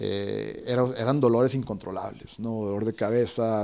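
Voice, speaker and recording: A man talks in a dark, mellow tone at a fairly low pitch. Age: 30s. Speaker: breathwork and cold exposure instructor. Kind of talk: interview. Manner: halting, many repetitions.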